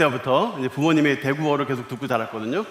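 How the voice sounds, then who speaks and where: There is noticeable background noise and audible room echo as a man talks at a fairly high pitch. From Korea, Seoul. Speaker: pastor. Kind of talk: sermon. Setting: church service, broadcast to other floors.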